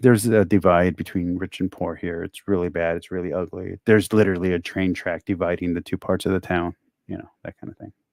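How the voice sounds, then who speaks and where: A man with an American accent, very deep and low in pitch, talking at a very fast pace with hardly any pauses, in a monotone, flat intonation with big swings in loudness, on a very clean recording with a silent background and a dry, close sound with no echo. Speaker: streamer watching along. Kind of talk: casual chat. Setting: live stream, no headset.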